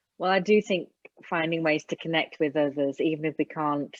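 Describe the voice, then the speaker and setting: A woman speaks with an English accent and a very deep, low voice. Her intonation stays fairly even. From England. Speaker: Alexander Technique teacher. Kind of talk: casual interview.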